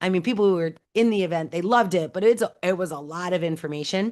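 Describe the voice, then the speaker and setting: Over a quiet background, a woman with a fairly low pitch speaks in an animated tone with ordinary pitch variation. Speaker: AI trainer hosting a live online session. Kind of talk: live webinar presentation. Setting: video call. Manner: fast.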